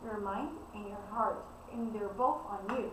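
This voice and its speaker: A woman speaks at a fairly slow pace, with audible room echo and noticeable background noise. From Brazil. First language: Portuguese. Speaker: spiritual coach. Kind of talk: spiritual talk / self-introduction.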